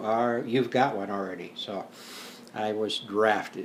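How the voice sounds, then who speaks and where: A man's fairly low voice with an American accent, plus audible room echo. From South Dakota, US Midwest. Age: 60s. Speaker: retired teacher and war veteran. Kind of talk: interview. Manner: hesitant, many fillers.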